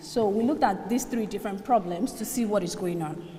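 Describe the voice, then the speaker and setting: A woman is heard with audible room echo. Noticeable background noise is also present. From Nigeria. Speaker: student researcher presenter. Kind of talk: conference presentation.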